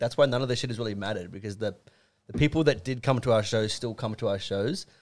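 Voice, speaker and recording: With an Australian accent, a man talks at a very fast pace. His intonation is lively, and the background is quiet. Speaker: rock band musician; podcast guest. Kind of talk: casual chat. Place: studio. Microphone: studio mic.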